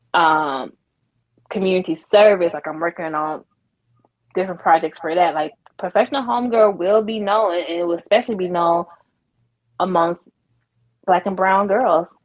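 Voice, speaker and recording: A woman's fairly low voice with an American accent, moderate pace, ordinary pitch variation and long, frequent pauses. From US South. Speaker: podcast founder and entrepreneur. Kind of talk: interview conversation. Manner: animated.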